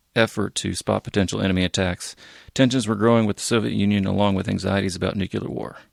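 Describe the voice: Plain reading aloud is delivered with fairly even intonation.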